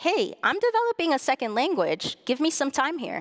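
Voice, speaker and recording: A woman with a Spanish accent speaks with lively intonation in a dry, close recording without echo. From US-Mexico border, Nogales, Arizona. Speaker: bilingual speech language pathologist and lecturer. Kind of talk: public lecture. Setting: stage with audience in a hall.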